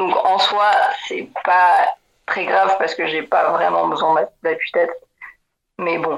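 Long, frequent pauses break up a woman's speech, which goes at a very slow pace. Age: 20s. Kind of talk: interview. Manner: halting.

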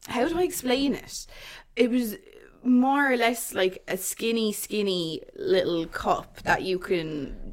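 With a Waterford Irish accent, a woman speaks at a very slow pace, fairly high in pitch and swinging very widely in pitch. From Ireland, Waterford. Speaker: podcast co-host. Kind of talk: casual chat.

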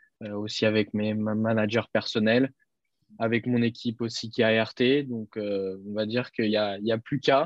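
Medium-pitched male speech at a fairly slow pace. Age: 20s. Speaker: racing driver. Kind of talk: interview. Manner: halting.

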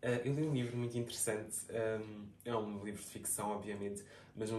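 A man speaks at a moderate pace in a medium pitch. Audible room echo and noticeable background noise accompany him. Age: 20s. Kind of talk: casual chat.

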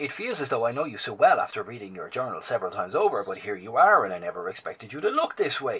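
A man does a put-on character voice at a fast pace, with big pitch swings around a medium pitch. His tone is fairly bright, with a husky, rough edge.

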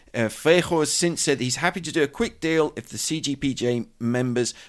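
This is a man speaking with a British accent. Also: very clean recording, silent background. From Britain. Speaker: journalist and podcast host. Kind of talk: news discussion podcast. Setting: studio.

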